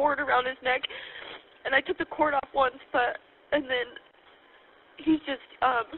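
The speech moves at a fairly slow pace with long, frequent pauses. Light background noise is present. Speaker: caller. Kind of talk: emergency phone call. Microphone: phone line.

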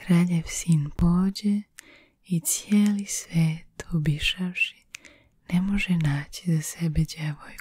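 Someone is whispering against a quiet background in a dry sound with no echo. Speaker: ASMR artist. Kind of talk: folk tale reading. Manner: whispered. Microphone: studio mic.

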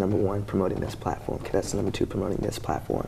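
Fairly low-pitched man with an American accent, light background noise behind him. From Texas, Houston. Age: 20s. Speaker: college student, pageant contestant; guest. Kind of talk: interview. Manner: halting. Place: studio. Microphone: lapel.

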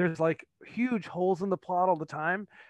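At a moderate pace, a man speaks with ordinary pitch variation in a dry sound with no echo against a quiet background. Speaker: podcast guest. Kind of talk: interview answer. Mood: animated, nostalgic. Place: home room. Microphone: headset.

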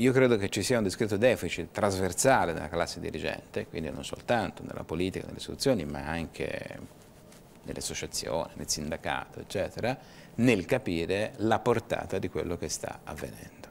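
Over light background noise, a man with a very deep, low voice speaks at a fairly quick pace, his intonation lively and his loudness swinging widely. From Tuscany, Livorno; Tuscany. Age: 50s. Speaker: business association director; guest. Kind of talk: TV interview. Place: studio.

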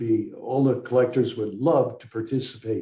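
A man speaks at a fairly slow pace in a dark, mellow, somewhat breathy voice. The room echo is audible, and the background is quiet. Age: 80s+. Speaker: bottle collector and local historian presenting his book; guest. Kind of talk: illustrated history presentation with Q&A. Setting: video call webinar. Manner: rambling, conversational with frequent fillers. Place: home room. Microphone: video call.

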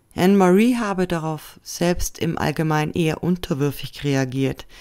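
A plain, everyday voice speaks at a fairly slow pace. The recording is very clean, with a silent background. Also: woman. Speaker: true crime video narrator. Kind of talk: scripted true-crime documentary narration, serious and factual. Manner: measured, even-paced and sombre; formal, informative, addressing viewers directly.

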